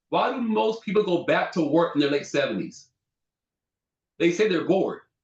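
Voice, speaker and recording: Here is a man with an American accent and a high pitch. His intonation is lively and his tone animated. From Southern California. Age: 30s. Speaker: insurance agent and business mentor. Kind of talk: sales pitch. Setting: video call from home office.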